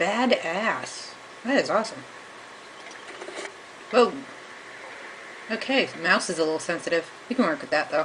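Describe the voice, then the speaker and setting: Delivery moves at a moderate pace with long, frequent pauses. Noticeable background noise runs underneath. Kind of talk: casual gameplay commentary.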